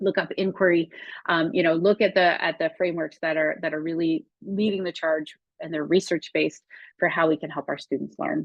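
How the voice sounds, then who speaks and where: A woman with a fairly low pitch speaks at a fairly quick pace with fairly even intonation. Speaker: educational technology coordinator presenting a webinar. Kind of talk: webinar presentation. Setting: online webinar with screen share. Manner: fast.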